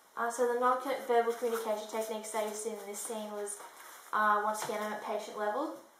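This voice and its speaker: Speaking at a fairly quick pace, a woman with a fairly high voice keeps her intonation fairly even amid audible room echo and noticeable background noise. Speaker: student nurse demonstrating clinical skills. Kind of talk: skills demonstration with narration. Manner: hesitant, many fillers; friendly, loud enough to be heard.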